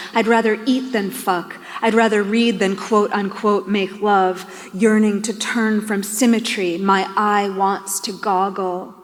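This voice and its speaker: A monotone, flat delivery at a fairly slow pace, with an American accent and noticeable background noise. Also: woman. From New York. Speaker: poet. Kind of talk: poetry reading.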